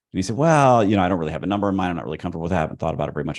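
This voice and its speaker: The man's pitch is very deep and low, with vocal fry. The background is quiet. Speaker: salary negotiation coach. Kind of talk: live Q&A session. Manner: fast; conversational.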